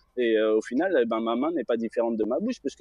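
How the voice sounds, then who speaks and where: The man speaks at a fairly quick pace. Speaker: caller on live show. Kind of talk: debate call-in discussion. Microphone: connection dropped out.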